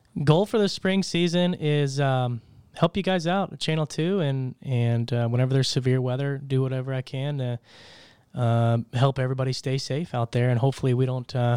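A man with an American accent, dark and mellow in tone, at a fairly quick pace, on a very clean recording with a silent background. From Tulsa, Oklahoma. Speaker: meteorologist and wine sales rep. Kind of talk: casual interview. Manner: halting, many fillers.

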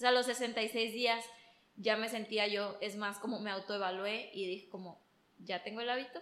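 A woman with a fairly high pitch and fairly even intonation talks at a moderate speed as noticeable noise sounds behind her. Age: 20s. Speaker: interior designer. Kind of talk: casual chat.

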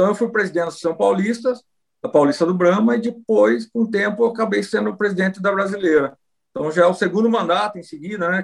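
A man's lively intonation at a fairly quick pace. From Brazil, Rio Claro, interior of São Paulo state. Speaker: cattle breeders' association president and rancher. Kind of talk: interview.

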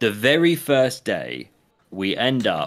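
Lively intonation from a man with an English accent on a very clean recording with a silent background. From England. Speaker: podcast co-host. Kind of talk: casual chat.

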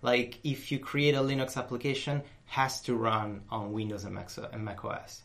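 A man talks at medium pitch with fairly even intonation. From Italy, Rome. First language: Italian. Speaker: software designer. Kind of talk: interview. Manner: talkative.

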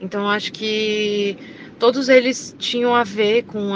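The pace is fairly slow, with fairly even intonation. Noticeable background noise can be heard. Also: woman. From Florianópolis, Santa Catarina, Brazil. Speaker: singer. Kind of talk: interview. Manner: hesitant, many fillers.

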